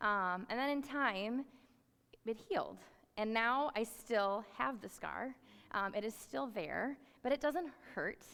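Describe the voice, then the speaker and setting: With long, frequent pauses, a woman speaks in a fairly high, bright, sharp voice with lively intonation. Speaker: youth ministry worker. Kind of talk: sermon. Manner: fast.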